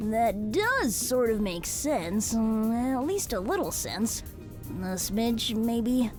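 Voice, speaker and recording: A female-sounding, put-on character voice speaks at a very slow pace over clear music in the background. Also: fairly high pitch for a woman. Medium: audio drama. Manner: bouncy, eager.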